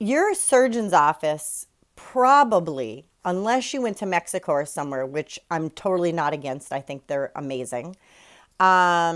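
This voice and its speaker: A woman speaks at a fairly slow pace with a fairly low pitch and an animated tone. Her pitch swings very widely on a very clean recording with a silent background. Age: 40s. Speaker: weight-loss surgery vlogger. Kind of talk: casual vlog monologue.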